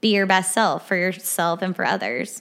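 A woman's bright, sharp tone at medium pitch, fairly even intonation and a moderate pace, in a very clean recording with a silent background. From Arkansas. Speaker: therapist. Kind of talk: casual interview.

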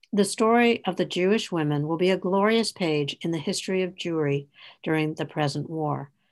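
This woman has an unremarkable speaking voice, fairly low in pitch, delivered at a moderate pace with ordinary pitch variation. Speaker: podcast host. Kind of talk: interview.

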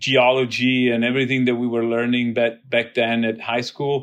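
A man is speaking. He has an Italian accent. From southern Italy. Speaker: biotech CEO. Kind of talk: interview.

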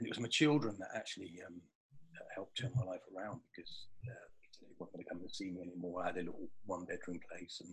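The man races through his words at a very fast pace. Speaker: butcher and spiritual speaker. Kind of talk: spiritual talk in an interview. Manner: calm, peaceful.

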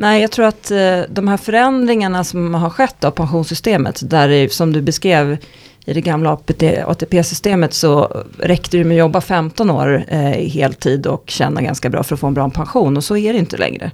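Using an ordinary speaking voice, a woman talks at a moderate pace with a fairly low pitch and lively intonation. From Stockholm, Sweden. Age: 40s. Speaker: economist. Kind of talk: podcast interview.

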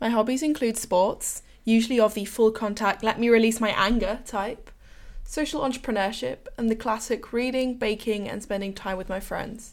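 In a very clean recording with a silent background, a woman with an English accent talks at a moderate pace in a fairly high pitch. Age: 18. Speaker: university student, podcast co-host. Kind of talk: scripted intro.

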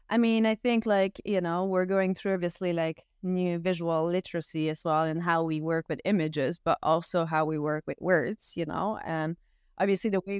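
In a Quebec accent, a woman with a fairly low pitch talks at a moderate pace with fairly even intonation, recorded very clean with a silent background and a dry, close sound with no echo. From Quebec, Canada (French-speaking small town). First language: French. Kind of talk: interview conversation.

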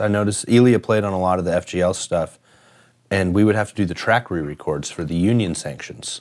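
Speaking with an American accent, a man uses a fairly low pitch, a fairly quick pace and ordinary pitch variation. The recording is very clean, with a silent background. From US Midwest, Kansas City area. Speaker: session guitarist and former band leader. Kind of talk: casual interview. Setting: video interview.

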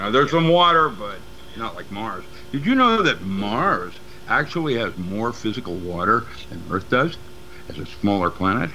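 Noticeable background noise sits under a man of medium pitch who talks at a moderate pace with very wide pitch swings and big swings in loudness. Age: 70s. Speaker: metaphysics teacher and paranormal researcher. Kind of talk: casual interview. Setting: remote call. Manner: rambling, halting.

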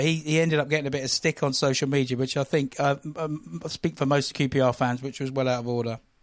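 A man talks at a fairly quick pace in an unremarkable speaking voice. His pitch is fairly high and his intonation fairly even. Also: quiet background. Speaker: guest football fan. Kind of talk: casual chat.

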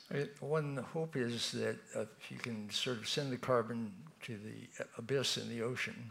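A man's moderately paced speech comes through with noticeable noise in the background. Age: 80s+. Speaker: talk series curator. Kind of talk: moderated Q&A. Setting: stage with audience.

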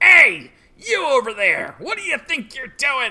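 Shouting in a put-on character voice with a high pitch, the speaker goes at a fairly slow pace. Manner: angry, shouting.

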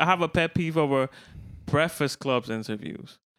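A man speaks in an unremarkable speaking voice at a fairly quick pace. His pitch varies in an ordinary way. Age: 20s. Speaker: podcast co-host. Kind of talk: casual chat.

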